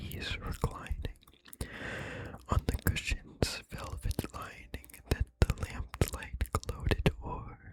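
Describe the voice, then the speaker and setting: Someone whispers at a very slow pace in a calm tone, with noticeable background noise. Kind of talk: whispered ASMR poetry reading. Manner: whispered, calm, relaxing.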